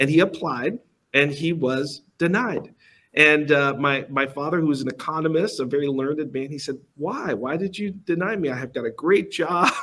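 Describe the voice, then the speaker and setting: This man talks at a moderate pace in a fairly high pitch, his tone bright and sharp, with ordinary pitch variation. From Angola, then Massachusetts, US. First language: Portuguese. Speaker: company executive. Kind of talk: fireside chat interview at conference.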